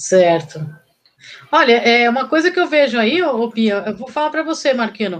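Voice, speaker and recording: With very wide pitch swings, a woman talks in a high pitch. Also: moderate pace. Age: 40s. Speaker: co-host. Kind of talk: live stream interview.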